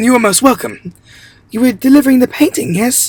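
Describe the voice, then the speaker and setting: A put-on character voice comes through at a fairly high pitch and sounds shaky. The pace is fairly quick. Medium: read story. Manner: shaky, deferential.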